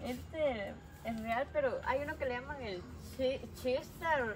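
A high-pitched woman speaks very slowly, with long, frequent pauses. Noticeable background noise and audible room echo surround her. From outside this area. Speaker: vlogger. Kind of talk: casual chat.

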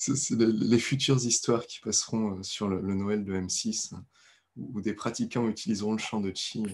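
A man's unremarkable speaking voice, fairly low in pitch, at a fairly slow pace with fairly even intonation. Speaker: qigong teacher. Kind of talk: guided meditation. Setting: video call. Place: home room. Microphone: video call.

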